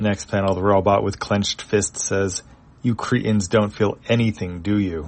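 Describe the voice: Someone reads the text aloud plainly, and the intonation holds fairly even.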